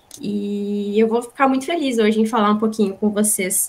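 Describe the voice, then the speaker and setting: A woman speaks at a moderate pace in a fairly high pitch. It is a normal speaking voice. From Rio Grande do Sul, Brazil (born in São Paulo, moved as small child). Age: 30s. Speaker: business manager, guest lecturer. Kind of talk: lecture.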